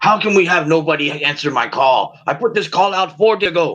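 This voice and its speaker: In a put-on character voice, a man speaks at a high pitch. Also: fairly quick pace. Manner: boisterous, commanding, irritated.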